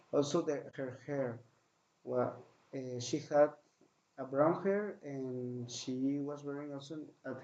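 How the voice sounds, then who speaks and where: With a Spanish accent, a man speaks very slowly at a fairly high pitch and with fairly even intonation. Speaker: podcaster. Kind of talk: recounting a dream. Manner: halting.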